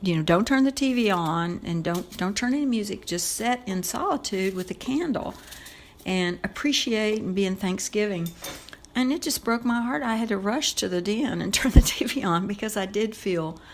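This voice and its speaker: Her intonation is lively. Behind this woman's voice there is noticeable background noise. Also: medium pitch for a woman, moderate pace. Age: 60s. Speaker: podcast guest, host's mother. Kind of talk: casual chat. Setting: family home kitchen.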